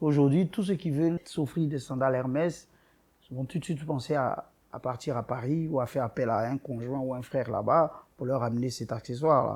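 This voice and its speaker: With a normal speaking voice, a man of medium pitch talks at a moderate pace, using ordinary pitch variation and big swings in loudness. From Ivory Coast. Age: 30s. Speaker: boutique owner. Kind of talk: interview.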